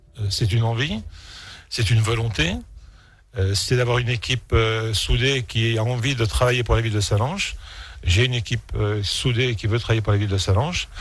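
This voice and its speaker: Talking fairly quickly, a man has a somewhat breathy voice. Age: 60s. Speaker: mayor. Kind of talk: radio interview. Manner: hesitant, many fillers.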